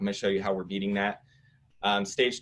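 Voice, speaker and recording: A man is talking. His voice has a fairly low pitch. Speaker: home staging company owner presenting. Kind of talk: webinar presentation. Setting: live online event. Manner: fast.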